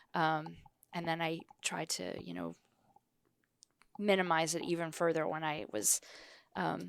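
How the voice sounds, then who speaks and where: Speaking at a fairly slow pace in an American accent, a woman is recorded with a dry, close sound and no echo. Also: very clean recording, silent background. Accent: Wisconsin accent, tamped down. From northern Wisconsin. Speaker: podcast co-host. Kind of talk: podcast interview.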